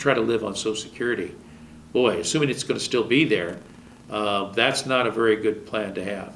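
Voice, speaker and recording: Talking at a fairly quick pace, a man has an unremarkable speaking voice at a medium pitch. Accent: American. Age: 60s. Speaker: TV talk show host and relationship counselor. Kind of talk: television monologue giving relationship advice.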